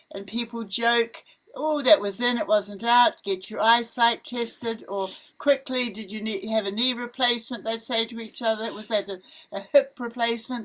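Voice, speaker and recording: Speaking with a New Zealand accent, a woman keeps a moderate pace. Her pitch varies in an ordinary way. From New Zealand, Wellington. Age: 80s+. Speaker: missionary. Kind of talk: casual chat. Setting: outdoors. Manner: animated.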